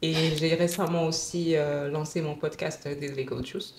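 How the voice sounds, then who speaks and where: A woman's very deep, low voice, fairly slow and monotone with flat intonation. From West Africa, mostly Dakar, Senegal. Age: 20s. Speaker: lawyer. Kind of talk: casual interview chat.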